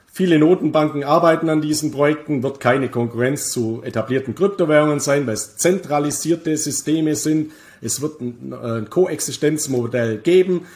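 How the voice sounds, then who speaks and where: A man's fairly high voice at a moderate pace, with ordinary pitch variation and hardly any pauses. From Bavaria, Germany. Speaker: crypto investment expert and author. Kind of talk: casual interview about crypto markets. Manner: frequent hesitations (äh).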